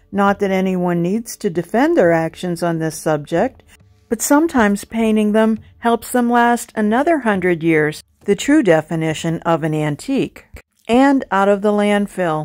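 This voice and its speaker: A woman with an unremarkable speaking voice, medium in pitch, at a moderate pace, with lively intonation. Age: 60s. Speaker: furniture painting content creator. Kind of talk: scripted narration.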